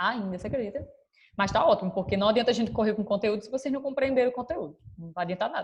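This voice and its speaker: Somewhat breathy, a woman talks at a very fast pace with big swings in loudness. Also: fairly high pitch for a woman, lively intonation. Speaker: school teacher. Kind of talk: online class lecture.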